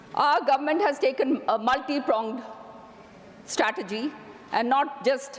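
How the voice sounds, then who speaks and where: A woman's lively intonation rises above noticeable background noise. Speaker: politician. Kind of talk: parliamentary speech. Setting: parliament chamber.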